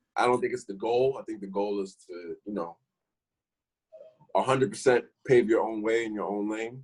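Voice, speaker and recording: A man talks at a moderate pace with medium pitch and ordinary pitch variation. His loudness swings widely, and he takes long, frequent pauses. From New York, Harlem. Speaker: rapper. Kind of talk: casual interview.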